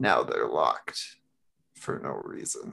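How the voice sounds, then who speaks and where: A man is speaking. His tone is menacing. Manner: cryptic, menacing, persuasive.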